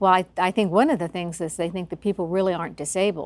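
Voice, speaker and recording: The speaker has a normal speaking voice with fairly even intonation. The sound is dry and close, with no echo. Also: woman. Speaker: lawyer. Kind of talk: interview answer.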